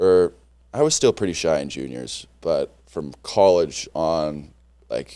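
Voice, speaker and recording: A man speaks loudly. He has an American accent. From Minnesota, US Midwest. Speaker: former college hockey player. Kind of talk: podcast interview. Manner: casual, filler-heavy.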